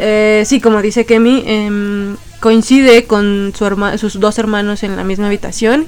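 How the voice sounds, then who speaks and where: With noticeable background noise behind her, a woman speaks at a fairly slow pace in a monotone, flat intonation. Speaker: podcast host. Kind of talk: casual chat.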